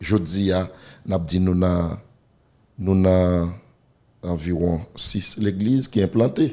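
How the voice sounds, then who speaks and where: A man's very deep, low voice with a dark, mellow tone, ordinary pitch variation and very even loudness, at a very slow pace with long, frequent pauses. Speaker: pastor. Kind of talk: interview. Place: studio. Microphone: studio mic.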